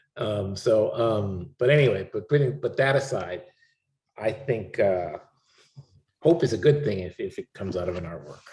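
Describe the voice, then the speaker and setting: A man with a fairly low voice speaks at a moderate pace, somewhat breathy and with lively intonation. He takes long, frequent pauses. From Chicago area, US (born in Cuba). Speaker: artist. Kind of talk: public conversation. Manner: halting.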